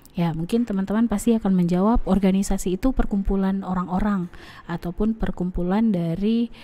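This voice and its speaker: A woman speaks at a medium pitch. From Aceh, Indonesia. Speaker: university lecturer. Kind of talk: lecture. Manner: hesitant with fillers.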